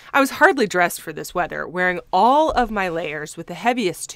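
The intonation here is lively. It comes from reading aloud in a natural voice.

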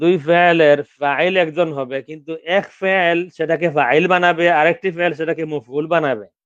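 Fairly high for a man, this voice is an unremarkable speaking voice with fairly even intonation. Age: 50s. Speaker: Arabic grammar teacher. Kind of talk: lecture.

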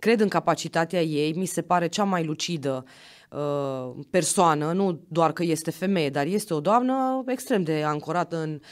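A woman talks at a moderate pace with lively intonation. Her pitch is fairly low, and the background is quiet. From Romania, Sibiu county; Romania. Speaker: county councillor and university assistant; county councillor. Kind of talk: podcast interview. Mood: earnest, moralizing tone. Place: studio. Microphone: studio mic.

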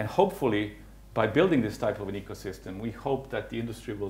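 Light background noise sits behind a man talking at a very fast pace. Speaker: conference presenter. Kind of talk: lecture. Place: hall.

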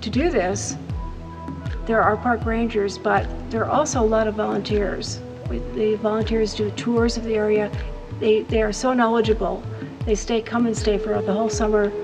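Over clear music in the background, a woman speaks at a moderate pace with long, frequent pauses. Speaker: travel show commentator. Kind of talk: travel commentary. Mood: calm, admiring. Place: tunnel cave.

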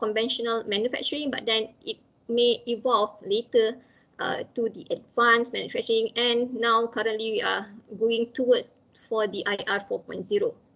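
The speaker is a woman with a fairly high pitch. She keeps a moderate pace. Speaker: manufacturing engineering researcher; presenter. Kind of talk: webinar presentation. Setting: video call. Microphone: echo, a bit soft; video call.

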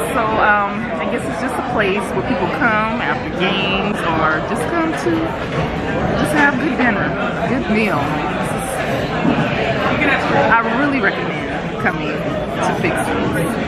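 A woman speaks with long, frequent pauses while crowd noise carries in the background. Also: fairly slow pace. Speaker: restaurant vlogger. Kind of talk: casual vlog chat. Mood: cheerful, affectionate. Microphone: phone near.

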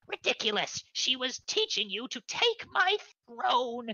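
A female-sounding, high-pitched put-on character voice is heard. It proceeds at a fairly slow pace. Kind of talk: tabletop game master voicing NPCs. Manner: quarrelsome, then fearful and reverent.

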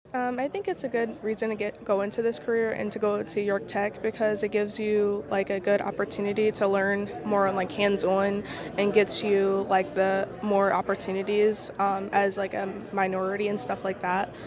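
Noticeable background noise surrounds a woman's monotone, flat delivery, recorded dry with no echo. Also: moderate pace. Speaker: interviewee. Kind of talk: interview answer. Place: hall. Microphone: handheld.

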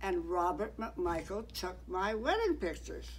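A woman talks at a very slow pace. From Canada, Toronto. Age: 90s. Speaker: oral history interviewee; interviewee. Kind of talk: personal reminiscence; interview answer. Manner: halting. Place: home room. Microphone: headset.

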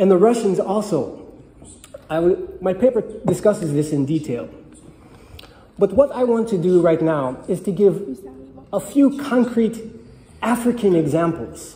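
A man talks at a fairly slow pace with lively intonation and long, frequent pauses, his voice carrying audible room echo. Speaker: conference presenter. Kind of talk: lecture. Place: hall. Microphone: podium.

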